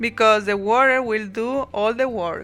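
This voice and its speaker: Over music in the background, a woman with a strong non-native accent speaks very slowly at a fairly high pitch with ordinary pitch variation. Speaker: watercolor artist. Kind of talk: art tutorial talk to camera.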